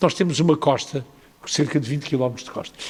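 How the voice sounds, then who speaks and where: A man speaks with a European Portuguese accent. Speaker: mayor. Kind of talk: panel discussion answer. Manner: hesitant, many filler sounds.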